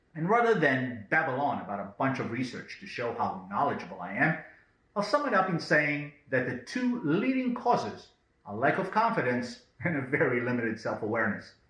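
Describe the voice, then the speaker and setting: A man speaks at a fairly quick pace in a fairly high pitch, his voice swinging very widely up and down. Audible room echo surrounds the recording. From Israel, then South Africa and Belgium as a teen. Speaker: self-development video host. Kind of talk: scripted monologue.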